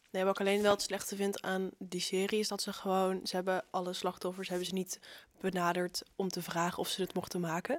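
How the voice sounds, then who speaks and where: Against a silent background in a very clean recording, a woman talks at a fairly quick pace in a flat monotone at a medium pitch. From Zeeland, Netherlands. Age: young. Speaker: student magazine writer. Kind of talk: casual chat.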